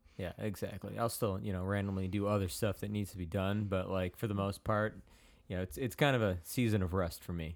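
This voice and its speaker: A man with an American accent talks at a fairly quick pace in a fairly low pitch. His is a normal speaking voice with fairly even intonation. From Chicago area, US Midwest. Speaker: church podcast host. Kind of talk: casual chat.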